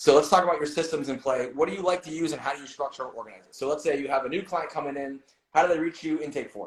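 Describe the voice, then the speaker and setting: A man talks at a very fast pace with a fairly high pitch and ordinary pitch variation. His loudness swings widely. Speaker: strength coach and interviewer. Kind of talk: interview.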